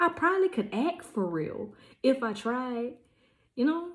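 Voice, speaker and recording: In a very clean recording with a silent background, a woman talks at a moderate pace. Her voice is somewhat breathy, with lively intonation. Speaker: vlogger and small business owner. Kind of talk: casual vlog monologue. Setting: at home packing orders.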